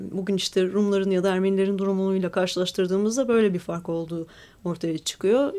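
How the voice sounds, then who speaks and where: The speech moves at a fairly quick pace in a plain, everyday voice. The recording is very clean, with a silent background. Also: woman. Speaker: lawyer and writer. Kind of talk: radio interview.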